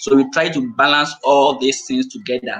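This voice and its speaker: The intonation is lively and the pace moderate, with light background noise underneath. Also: man. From Ghana. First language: Twi. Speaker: language school founder; guest. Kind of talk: live-streamed panel discussion. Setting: video call. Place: home room. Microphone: video call.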